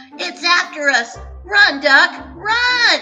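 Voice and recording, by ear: Over faint music in the background and audible room echo, someone performs a put-on character voice with big pitch swings. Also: woman, extremely high pitch for a woman, very slow pace, bright, sharp tone.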